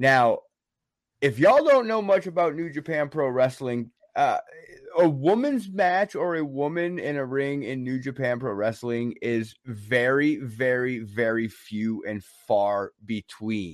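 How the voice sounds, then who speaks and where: This man has an ordinary speaking voice at medium pitch, moving at a fairly slow pace with lively intonation. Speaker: wrestling podcast co-host. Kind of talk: casual chat. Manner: laid-back, jokey, talkative.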